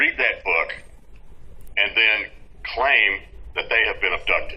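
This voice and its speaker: A man with an American accent speaks at an extremely high pitch with fairly even intonation. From Texas. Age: 60s. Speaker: UFO field investigator. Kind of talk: interview. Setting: video call. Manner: halting, many fillers.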